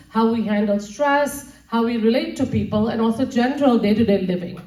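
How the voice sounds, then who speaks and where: A woman's fairly high-pitched voice carries a dark, mellow tone. Audible room echo surrounds it. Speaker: nutrition speaker. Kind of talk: lecture. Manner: fast.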